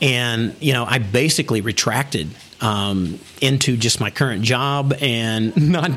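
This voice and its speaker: A man at a fairly slow pace, ordinary pitch variation, and noticeable background noise. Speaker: business founder. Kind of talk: interview. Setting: studio office in China.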